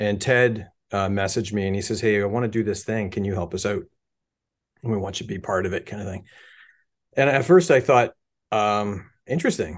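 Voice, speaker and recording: An ordinary speaking voice with a Canadian accent moves at a fairly quick pace with ordinary pitch variation against a quiet background. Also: man. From Canada, Hamilton, Ontario. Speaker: musician and model builder. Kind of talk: casual chat.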